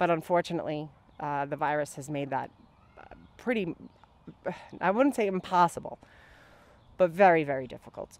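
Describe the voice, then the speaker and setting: A woman with an ordinary speaking voice, pitched fairly low. The sound is dry, with no echo. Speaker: candidate. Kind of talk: interview answer. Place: garden. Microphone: handheld.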